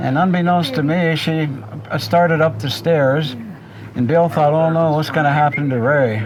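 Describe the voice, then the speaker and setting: Amid noticeable background noise and audible room echo, a man talks at a moderate pace with a fairly high pitch. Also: ordinary pitch variation. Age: 70s. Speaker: elderly brother telling childhood stories. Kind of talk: storytelling in a group interview.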